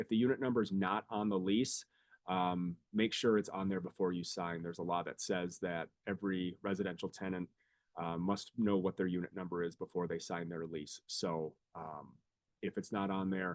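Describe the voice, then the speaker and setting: A man talks with a very deep, low pitch. His intonation stays fairly even. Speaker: student legal services attorney. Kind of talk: webinar presentation. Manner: fast.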